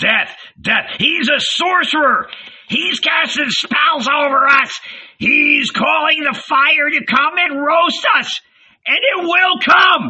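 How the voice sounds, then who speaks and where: A shrill, put-on character voice from a man, extremely high-pitched and at a fairly slow pace. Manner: screeching, hysterical.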